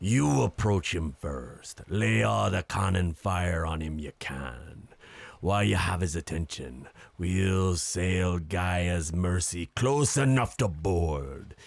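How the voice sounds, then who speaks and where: Lively intonation runs through a put-on character voice at a fairly slow pace. The recording is very clean, with a silent background. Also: man, very deep, low pitch for a man. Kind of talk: nautical pirate-era speech. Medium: audio drama. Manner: commanding, declamatory.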